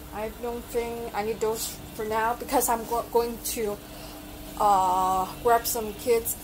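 Noticeable background noise runs through the clip. A woman speaks at a very slow pace. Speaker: electronics hobby vlogger. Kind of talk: casual vlog chat. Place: shop. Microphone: phone near.

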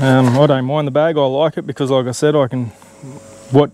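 Speech moves at a fairly quick pace over light background noise. The sound is dry, with no echo. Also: man. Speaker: product reviewer. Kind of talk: casual product review. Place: open country. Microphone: lapel.

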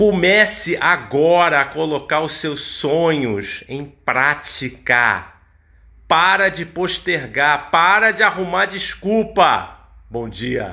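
The delivery is very slow, with lively intonation and a bright, sharp tone. The background is quiet. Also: man, high pitch for a man. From Niterói, Rio de Janeiro state, Brazil; Rio de Janeiro state, Brazil. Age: 50s. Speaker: massage therapist; massage therapist vlogger. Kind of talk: motivational talk. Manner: casual, conversational. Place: home room. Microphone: phone near.

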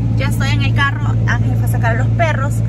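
A woman talks over loud background noise. The sound is dry with no echo. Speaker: family vlogger. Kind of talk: casual vlog chat. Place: car. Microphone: phone near.

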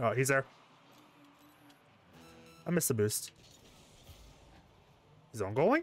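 Music plays in the background as a man talks at a moderate pace. His pitch is medium, his intonation lively, and his pauses long and frequent. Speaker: gamer. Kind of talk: casual gaming commentary.

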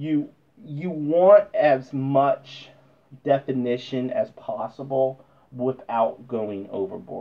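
The speaker is a man. His pitch moves up and down in an ordinary way. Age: 40s. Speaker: model painting youtuber. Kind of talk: tutorial. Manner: halting, repetitive. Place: workshop. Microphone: camera far.

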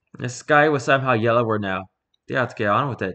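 Someone is reading aloud in a natural voice against a quiet background.

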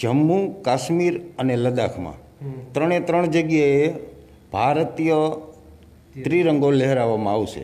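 A man speaks at a fairly high pitch with ordinary pitch variation. His loudness stays very even. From Gujarat, Saurashtra (Morbi area village); Gujarat. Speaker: patriotic motorcycle traveller; interview guest. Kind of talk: interview. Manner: halting. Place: studio. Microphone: handheld.

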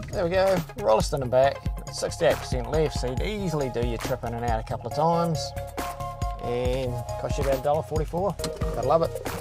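The speech comes very fast, with a dry sound and no echo. Music is clearly audible in the background. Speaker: presenter. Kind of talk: casual promotional vlog chat. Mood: upbeat, cheerful. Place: car.

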